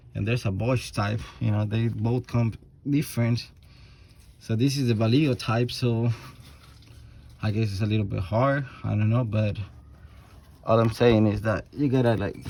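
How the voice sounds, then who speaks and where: A man mumbles at a moderate pace, leaving long, frequent pauses. His medium-pitched voice sounds dark, mellow and somewhat breathy. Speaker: auto mechanic. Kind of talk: tutorial. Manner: mumbling; casual, halting with repetitions.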